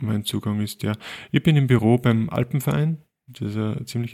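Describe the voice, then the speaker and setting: A man speaks at a moderate pace in a medium pitch with a dark, mellow tone, on a very clean recording with a silent background. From Linz, Upper Austria. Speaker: photographer, podcast co-host. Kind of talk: casual chat.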